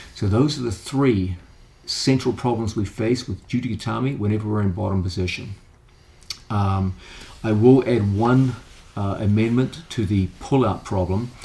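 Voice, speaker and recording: This man has an unremarkable speaking voice, fairly low in pitch, with ordinary pitch variation. He talks at a moderate pace. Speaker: grappling instructor. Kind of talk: instructional tutorial.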